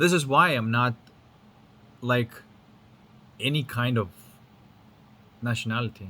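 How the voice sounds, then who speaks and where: A man's bright, sharp voice at medium pitch, fairly slow, with long, frequent pauses and ordinary pitch variation. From Lithuania. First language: Lithuanian. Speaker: spiritual teacher. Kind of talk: casual monologue. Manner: casual with frequent fillers and repetitions.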